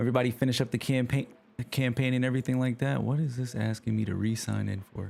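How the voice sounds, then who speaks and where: Over music in the background, a man speaks at a very fast pace in a medium pitch with fairly even intonation. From New York. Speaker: gaming livestreamer. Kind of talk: casual chat. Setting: livestream.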